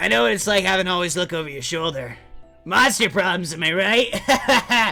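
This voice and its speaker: Over faint background music, a man does a put-on character voice, high-pitched and at a moderate pace. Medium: solo performance. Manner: dramatic, earnest.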